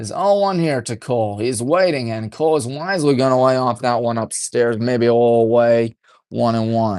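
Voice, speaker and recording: A man talks at a medium pitch with a quiet background behind him. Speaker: high school baseball radio play-by-play announcer. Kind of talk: live commentary. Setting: press box at a baseball field. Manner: deliberately subdued, golf-commentator style.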